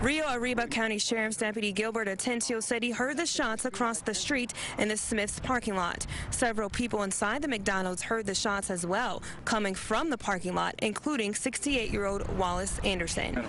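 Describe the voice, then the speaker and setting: Over noticeable background noise, a woman talks at a fairly quick pace in a fairly high pitch, her loudness very even and her pitch varying in an ordinary way. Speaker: TV news reporter. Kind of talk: TV news field report.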